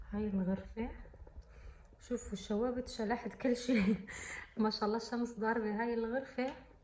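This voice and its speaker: Noticeable background noise sits behind a soft-spoken woman with a fairly high pitch. She talks at a moderate pace in a monotone, flat way, leaving long, frequent pauses. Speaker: student vlogger. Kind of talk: vlog. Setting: university building. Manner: soft-spoken, speaking quietly.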